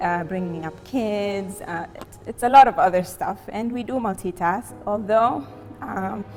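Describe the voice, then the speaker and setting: Music plays in the background as a woman with an Arabic accent speaks at a fairly slow pace. Her medium pitch varies in an ordinary way, while her loudness swings widely. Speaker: marketing and communications expert. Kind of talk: interview testimony. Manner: soft-spoken; halting, many repetitions and fillers.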